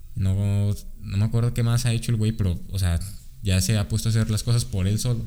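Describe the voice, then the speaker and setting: A man's fairly low voice, fairly quick in pace, with ordinary pitch variation, very even loudness and a dark, mellow tone. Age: 20s. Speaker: podcast co-host. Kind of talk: casual chat.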